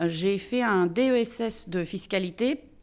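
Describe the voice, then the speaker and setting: A woman talks in a mid-range voice, her pitch moving an ordinary amount. The recording is very clean and the background silent. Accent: Russian. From Russia. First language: Russian (speaking French). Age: 50s. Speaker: lawyer, managing partner of a law firm. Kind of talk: interview.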